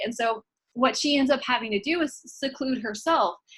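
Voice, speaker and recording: At a moderate pace, a woman with an American accent speaks with ordinary pitch variation. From Indiana, rural. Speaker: university instructor. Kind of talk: recorded lecture. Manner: casual, many fillers.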